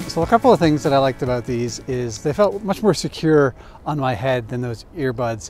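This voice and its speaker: A man's voice in a dry sound with no echo, music playing in the background. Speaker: cycling video host. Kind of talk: product review talk. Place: street.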